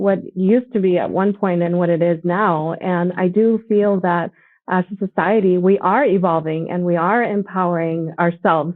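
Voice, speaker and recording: At a moderate pace, a woman with an ordinary speaking voice talks in a fairly low pitch with fairly even intonation. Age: 40s. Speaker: nonprofit ambassador. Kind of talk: conversation.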